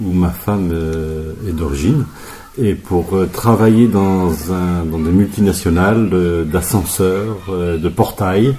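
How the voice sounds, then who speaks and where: There is noticeable background noise behind a man with a very deep, low pitch. He speaks at a very slow pace with ordinary pitch variation. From France, Berry region. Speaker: therapist. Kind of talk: radio interview. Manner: hesitant, many fillers.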